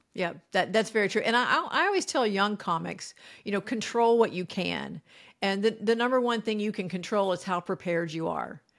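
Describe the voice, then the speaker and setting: A woman's medium-pitched voice with vocal fry, ordinary pitch variation and a fairly quick pace, on a very clean recording with a silent background. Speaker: comedian. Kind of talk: interview. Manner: calm.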